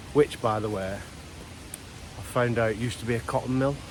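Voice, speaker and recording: With a strong Lancashire accent, a man speaks at a fairly quick pace with fairly even intonation against noticeable background noise. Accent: strong Wigan Lancashire. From Wigan, Lancashire, northern England. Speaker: outdoor vlogger. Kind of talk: casual vlog talk to camera. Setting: outdoors, walking in a valley.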